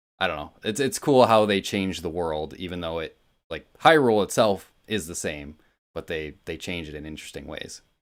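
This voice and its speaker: Against a silent background on a very clean recording, a man with a very deep, low pitch speaks at a fairly quick pace, his pitch varying in an ordinary way and his loudness swinging widely. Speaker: video game podcast co-host. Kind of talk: casual chat. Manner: animated.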